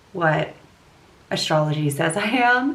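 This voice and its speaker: In a room with audible echo, a woman with an American accent speaks at a very slow pace in a fairly low pitch with lively intonation. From US West Coast, California Bay Area. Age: 20s. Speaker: lifestyle vlogger. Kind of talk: casual chat with makeup tutorial. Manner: chatty, casual.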